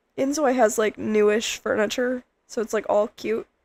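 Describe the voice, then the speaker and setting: The woman's voice has a fairly high pitch and vocal fry. The sound is dry and close, with no echo. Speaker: gaming streamer. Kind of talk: casual chat.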